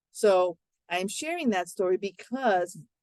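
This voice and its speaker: An unremarkable speaking voice from a woman, medium in pitch and fairly slow, with ordinary pitch variation and a dry, close sound with no echo. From US, Miami, Florida (Cuban-American family). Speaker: English language teacher, workshop presenter. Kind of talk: webinar presentation.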